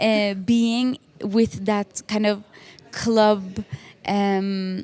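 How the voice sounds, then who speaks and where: A woman with a Norwegian accent, medium in pitch, in a dark, mellow tone and a monotone, flat intonation. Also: dry, close sound with no echo. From Norway. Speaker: music producer and singer. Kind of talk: interview. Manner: halting, many fillers.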